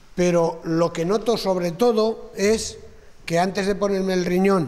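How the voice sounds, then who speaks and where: Talking fairly slowly with fairly even intonation, a man uses a high pitch amid audible room echo. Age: 70s. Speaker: kidney transplant recipient. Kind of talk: talk to students, Q&A. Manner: halting.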